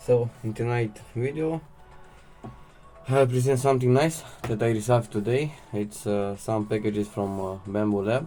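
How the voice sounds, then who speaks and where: A man with a non-native accent, long and frequent pauses, and music in the background. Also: medium pitch for a man, ordinary pitch variation, moderate pace. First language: not English. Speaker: 3D printing hobbyist. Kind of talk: casual unboxing and assembly talk to camera. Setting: home recording, poor audio.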